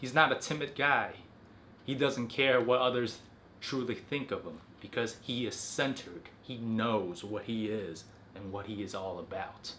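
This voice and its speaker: A man talks at a moderate pace with medium pitch and ordinary pitch variation. Room echo is audible. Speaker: self-improvement video host. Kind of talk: motivational talk to camera. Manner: articulate, enunciating every syllable.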